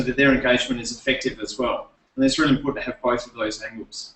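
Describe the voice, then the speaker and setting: Speaking with an Adelaide accent, the man has a fairly high voice. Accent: Australian (Adelaide). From Australia, Adelaide. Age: 30s. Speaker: presenter and former teacher. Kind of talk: presentation workshop. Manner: halting, many fillers and repeats.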